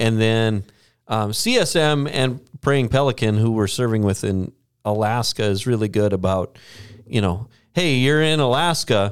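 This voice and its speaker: A man with an Upper Midwest US accent, medium pitch, fairly slow pace and very even loudness, on a very clean recording with a silent background. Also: ordinary pitch variation. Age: 40s. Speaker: podcast host, church staff. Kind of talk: casual chat. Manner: joking, chatty.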